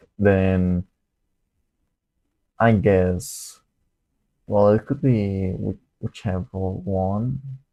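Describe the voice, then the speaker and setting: Recorded very cleanly against a silent background, a man talks at a very slow pace with a fairly low pitch and ordinary pitch variation. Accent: non-native. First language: not English. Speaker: student livestreamer solving coding problems. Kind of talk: live coding stream, thinking aloud. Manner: halting, hesitant with repetitions.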